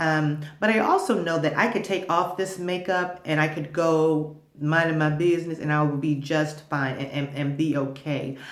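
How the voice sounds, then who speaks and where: Very deep, low woman's voice at a fairly slow pace with ordinary pitch variation, amid audible room echo and noticeable background noise. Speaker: vlogger giving marriage advice. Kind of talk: casual advice monologue to camera. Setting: makeshift home studio. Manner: loud; halting with many repeats.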